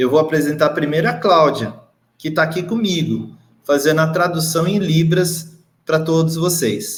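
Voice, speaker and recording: Speaking at a fairly slow pace, a man with a fairly high pitch is heard over audible room echo. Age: 50s. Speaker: education official hosting a web TV show. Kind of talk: live web show hosting. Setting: video stream from a bright room.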